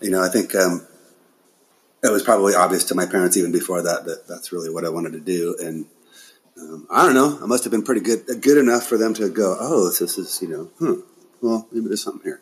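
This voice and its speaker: Speaking very fast with an American accent and big swings in loudness, a man is recorded very cleanly against a silent background. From Aberdeen, Washington, US Pacific Northwest. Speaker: rock drummer. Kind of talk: casual interview chat. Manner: halting, many fillers and repeats; laid-back.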